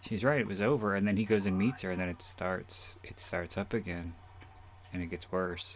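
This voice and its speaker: This man has a very deep, low voice and fairly even intonation. He speaks at a moderate pace. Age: 30s. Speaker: podcast host and author. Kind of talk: solo movie commentary. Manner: rambling with frequent fillers.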